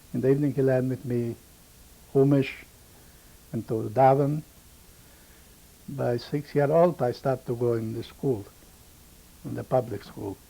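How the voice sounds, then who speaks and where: A man with a dark, mellow tone and a somewhat breathy, medium-pitched voice speaks at a moderate pace with fairly even intonation and long, frequent pauses. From Romania (Maramures region). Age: 70s. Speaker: Holocaust survivor. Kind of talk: oral history testimony. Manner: halting, broken English.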